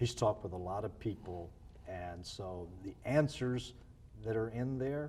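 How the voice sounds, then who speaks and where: The tone is dark, mellow and somewhat breathy. Intonation stays lively at a fairly slow pace. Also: man, fairly low pitch for a man. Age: 60s. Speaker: former missionary and church planter. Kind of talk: interview.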